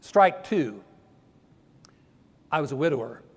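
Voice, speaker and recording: Audible room echo surrounds a man speaking in an American accent. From northern US. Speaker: preacher. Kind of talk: sermon.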